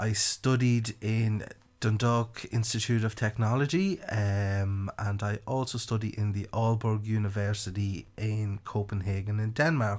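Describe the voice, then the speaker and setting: With a rural Irish accent, a man talks at a fairly slow pace with hardly any pauses, his pitch fairly low and his intonation fairly even. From Ireland, County Louth. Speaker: marketing podcast host. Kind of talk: podcast monologue.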